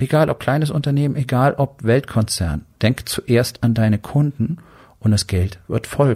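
A man's dark, mellow, somewhat breathy voice at medium pitch, in a dry, close sound with no echo. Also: ordinary pitch variation, fairly slow pace, very even loudness. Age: 50s. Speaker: podcast host, doctor and entrepreneur. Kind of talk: motivational monologue.

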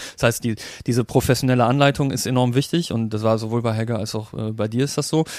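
Words come from a man at a very fast pace. His voice has a medium pitch and fairly even intonation. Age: 30s. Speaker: software designer and personal training client. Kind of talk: casual interview.

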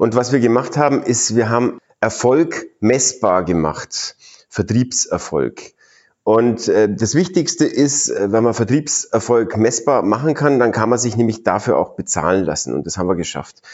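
The voice carries vocal fry and lively intonation while moving at a fairly slow pace. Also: man, medium pitch for a man. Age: 40s. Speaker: retired startup founder and mentor. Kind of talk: interview. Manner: animated.

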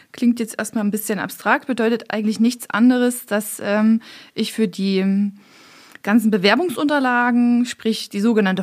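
A woman's fairly high, somewhat breathy voice at a moderate pace, with ordinary pitch variation and a very clean recording against a silent background. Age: 30s. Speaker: police recruitment head. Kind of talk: casual panel chat. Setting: studio.

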